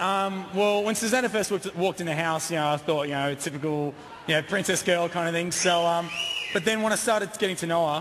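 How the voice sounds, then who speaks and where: Over noticeable background noise, a man with an Australian accent talks at a very fast pace in a high voice with ordinary pitch variation. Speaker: reality show contestant. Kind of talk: live TV interview. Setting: stage with audience. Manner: halting, many fillers.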